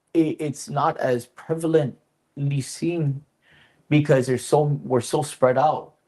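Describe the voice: A man speaks at a slow pace in a fairly high pitch, his dark, mellow tone carrying a slightly husky edge.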